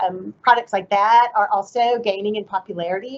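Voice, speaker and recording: Pitch moves in an ordinary way here. It is a plain, everyday voice. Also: woman. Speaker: agricultural trade official. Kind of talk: webinar presentation.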